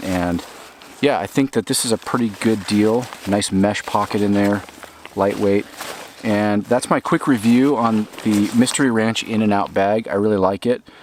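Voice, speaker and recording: Noticeable background noise sits behind a man's fairly low voice. He keeps his intonation fairly even. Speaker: outdoor gear reviewer. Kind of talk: product review. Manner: fast; casual, hesitant fillers.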